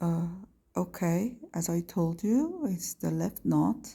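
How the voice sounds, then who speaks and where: Speaking very slowly, a woman talks with a non-native accent. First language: not English. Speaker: craft tutorial maker. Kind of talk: tutorial. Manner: halting.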